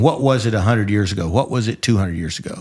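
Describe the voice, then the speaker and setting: A man speaks very fast with lively intonation. The recording is very clean, with a silent background. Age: 70s. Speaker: retired judge, show host. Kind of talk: casual educational discussion. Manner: halting, repeats words.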